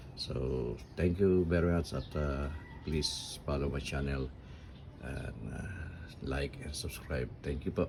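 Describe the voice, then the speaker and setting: Very deep and low, a man's voice moves at a very slow pace with vocal fry and ordinary pitch variation. Room echo can be heard. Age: 70s. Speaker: DIY hobbyist vlogger. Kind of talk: casual tutorial. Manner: halting.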